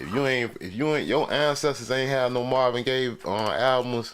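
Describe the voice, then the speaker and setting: A man at medium pitch and a moderate pace, with noticeable background noise. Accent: Southern Florida. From Florida. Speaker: livestream host. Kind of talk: casual livestream chat. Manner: animated.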